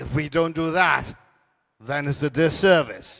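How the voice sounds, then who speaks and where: Speaking at a very slow pace, a man talks with a Turks and Caicos accent. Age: 80s+. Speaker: cultural elder. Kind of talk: panel discussion.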